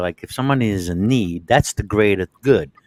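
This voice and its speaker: Pitched fairly low, the man talks in a New York accent. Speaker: discussion participant. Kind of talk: casual chat.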